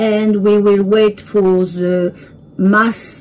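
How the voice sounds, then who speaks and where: A woman speaks with a French accent at a medium pitch. Her intonation is fairly even. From France. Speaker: home cook video creator. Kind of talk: tutorial. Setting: home kitchen. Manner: halting.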